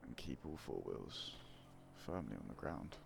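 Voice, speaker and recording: Soft-spoken with vocal fry, a man talks at a fairly slow pace. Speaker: gaming ASMR content creator. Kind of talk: casual talk to camera.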